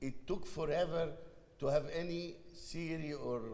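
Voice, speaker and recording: A man with an Egyptian accent is heard with audible room echo. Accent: foreign accent, Egyptian. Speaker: panel moderator. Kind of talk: panel discussion.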